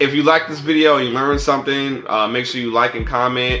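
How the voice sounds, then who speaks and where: A man is speaking. His pace is fairly quick. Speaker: vlogger. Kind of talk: casual vlog chat. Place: kitchen.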